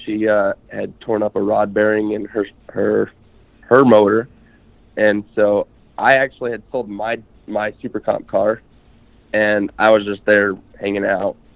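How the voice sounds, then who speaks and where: A man with an American accent speaks at a fairly low pitch and fairly slow pace, his intonation monotone and flat, with long, frequent pauses. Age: 20s. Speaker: drag racer. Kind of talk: casual chat.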